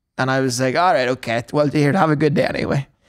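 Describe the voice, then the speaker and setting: In a very clean recording with a silent background, a man with a Northern Irish accent speaks at a fairly high pitch. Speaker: stand-up comedian. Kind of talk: casual podcast banter.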